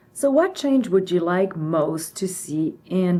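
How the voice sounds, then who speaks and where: A woman with a French accent, her tone dark and mellow, with very wide pitch swings. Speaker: interviewer and co-author. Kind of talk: interview.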